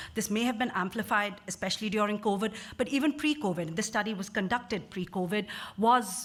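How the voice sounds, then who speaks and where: Somewhat breathy, a woman talks at a fairly quick pace. Her pitch is medium, with ordinary variation. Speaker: social care researcher. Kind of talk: conference talk. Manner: fast.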